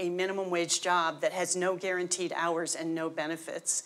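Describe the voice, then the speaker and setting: An unremarkable speaking voice comes with an American accent. It moves at a moderate pace. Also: woman. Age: 60s. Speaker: union leader. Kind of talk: panel discussion.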